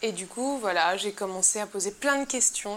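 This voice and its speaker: A woman speaks at a moderate pace. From Madagascar and Cameroon. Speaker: musician. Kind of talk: interview.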